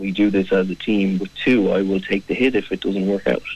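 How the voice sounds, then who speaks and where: With a South Dublin accent, a man speaks fairly slowly at a fairly low pitch and with fairly even intonation. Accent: watered-down Irish, sounds like South Dublin. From Ireland, County Kildare. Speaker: management consultant. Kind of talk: radio interview. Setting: radio studio.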